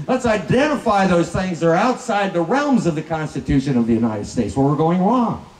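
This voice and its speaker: Talking at a fairly quick pace in a high pitch, a man with an American accent makes very wide pitch swings. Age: 60s. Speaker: political candidate. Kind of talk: political speech.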